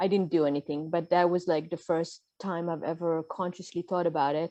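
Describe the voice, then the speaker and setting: A woman talks at a fairly quick pace in a fairly low voice with a dark, mellow tone. Her intonation stays flat and monotone over a quiet background. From Israel. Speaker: podcaster and mental health coach. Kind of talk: casual interview chat. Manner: halting, many fillers.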